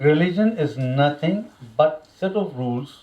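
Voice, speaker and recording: A man with a fairly high pitch and an Indian accent. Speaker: religious lecturer. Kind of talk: religious lecture.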